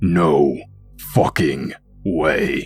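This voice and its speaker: Over music in the background, a man puts on a character voice that is raspy and very deep and low in pitch. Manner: startled, disbelieving.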